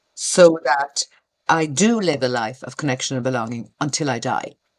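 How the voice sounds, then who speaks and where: A woman with an Irish accent has a very deep, low pitch and ordinary pitch variation. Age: 60s. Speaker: retired community worker. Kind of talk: podcast interview. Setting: video call.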